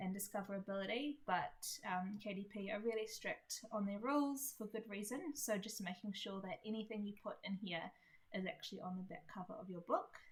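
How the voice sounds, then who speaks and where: A woman talks with a New Zealand accent at a moderate pace. Her medium-pitched voice is somewhat breathy. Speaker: indie author. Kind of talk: tutorial. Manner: casual, many fillers.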